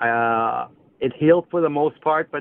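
In a plain, everyday voice, a man talks at a moderate pace with a fairly high pitch and ordinary pitch variation. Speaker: caller, former semi-pro athlete. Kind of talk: call-in question. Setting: phone call.

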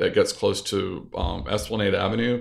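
A man talks with a Southern US accent. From US South, North Louisiana. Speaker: architect and interior designer. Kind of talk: interview.

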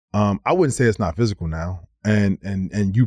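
A man's normal speaking voice, fairly low in pitch with ordinary pitch variation, at a fairly quick pace, dry and close with no echo in a very clean recording over a silent background. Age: 40s. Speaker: former NBA player. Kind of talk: casual chat.

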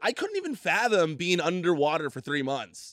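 A man speaks in an animated tone at a moderate pace. The sound is dry and close, with no echo. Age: 30s. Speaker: podcast host. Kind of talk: interview. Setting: studio.

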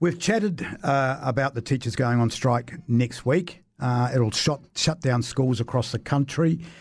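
On a very clean recording with a silent background, a man speaks with a New Zealand accent, somewhat breathy, at medium pitch with ordinary variation. His pace is fairly slow, with hardly any pauses and very even loudness. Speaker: radio talk show host. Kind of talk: radio panel debate. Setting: radio studio.

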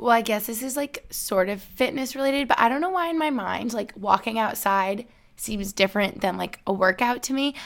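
A woman with an American accent has a plain, everyday voice, fairly high in pitch with lively intonation. She moves at a fairly quick pace with hardly any pauses, on a very clean recording with a silent background. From upstate New York. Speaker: YouTuber and podcaster. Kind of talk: casual chat.

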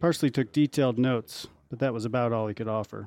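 A man's normal speaking voice at a fairly quick pace, with ordinary pitch variation. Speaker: magazine editor and interviewer. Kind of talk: scripted narration.

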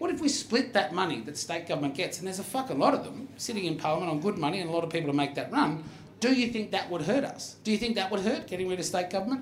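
A man speaks at a high pitch and a very fast pace, with very wide pitch swings. Noticeable background noise is present. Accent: Australian. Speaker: comedy podcast host. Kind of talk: live comedy Q&A with audience. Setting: bar stage with live audience.

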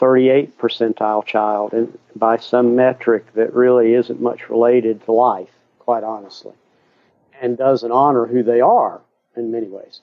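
This man's voice sits at a medium pitch with monotone, flat intonation. He speaks at a fairly slow pace. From US South. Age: 60s. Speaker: educator and author. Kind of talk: interview. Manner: halting.

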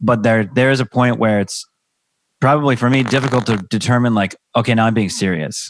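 An ordinary speaking voice, a man with an American accent at medium pitch, ordinary pitch variation, a fairly quick pace, very even loudness and a dry, close sound with no echo. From US Pacific Northwest, Seattle area. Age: 30s. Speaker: comedian and stay-at-home dad. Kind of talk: casual chat.

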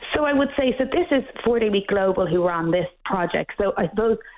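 Speaking with an Irish accent, a woman talks at a fairly quick pace. Her intonation is lively. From Ireland. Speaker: workplace policy director. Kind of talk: radio interview. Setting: phone call. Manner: passionate.

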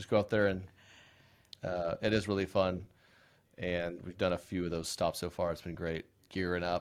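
In an Oklahoma accent, a man speaks at a fairly low pitch on a very clean recording with a silent background. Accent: Oklahoma, US Southern Plains. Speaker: comedian. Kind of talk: casual chat.

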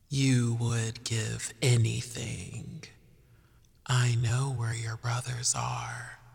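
A put-on character voice from a man, medium in pitch and very slow in pace. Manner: cackling, eerie.

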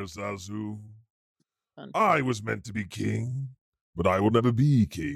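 Using a put-on character voice, a man with a fairly low pitch speaks at a fairly slow pace, leaving long, frequent pauses. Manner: sulky, resentful.

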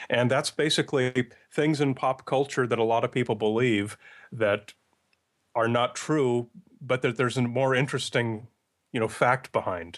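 Over a quiet background, a man at medium pitch keeps a moderate pace with fairly even intonation and very even loudness. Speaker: podcast producer and myth-buster. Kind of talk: interview conversation.

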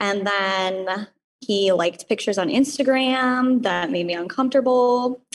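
In an ordinary speaking voice, a woman talks at a fairly slow pace and fairly high pitch with ordinary pitch variation. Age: 20s. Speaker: caller. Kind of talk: advice call.

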